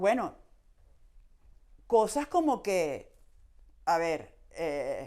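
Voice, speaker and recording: A woman's dark, mellow voice at a fairly high pitch, very slow, with very wide pitch swings, long, frequent pauses and a very clean recording with a silent background. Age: 50s. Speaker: baseball journalist and writer. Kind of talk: interview conversation. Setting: podcast.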